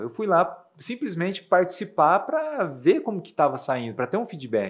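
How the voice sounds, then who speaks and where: The man's high voice moves at a moderate pace. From Brazil, Rondônia (Ariquemes), raised partly in Mato Grosso do Sul. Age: young. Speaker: math teacher and behavioral coach. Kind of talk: interview.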